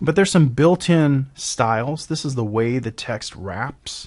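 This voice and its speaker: This is a normal speaking voice with lively intonation throughout. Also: man. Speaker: software tutorial presenter. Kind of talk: screen-recorded software tutorial. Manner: casual, with fillers and self-corrections.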